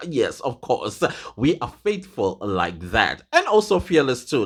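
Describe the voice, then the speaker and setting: An animated man with a fairly high pitch swings very widely in pitch, and his voice has vocal fry. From South Africa. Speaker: YouTuber commentator. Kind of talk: casual vlog commentary.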